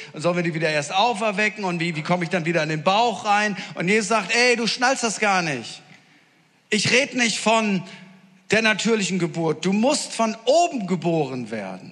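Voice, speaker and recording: With an animated tone and lively intonation, a man speaks in a high voice. His pace is moderate. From northern Germany. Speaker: preacher. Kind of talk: sermon. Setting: church with audience.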